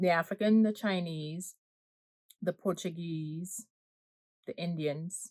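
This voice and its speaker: A woman with a Guyanese accent and a fairly low pitch, at a very slow pace with long, frequent pauses, fairly even intonation and a dry, close sound with no echo. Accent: Guyanese Caribbean. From Guyana. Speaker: food vlogger. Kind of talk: casual vlog chat. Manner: casual, self-correcting; eating while talking.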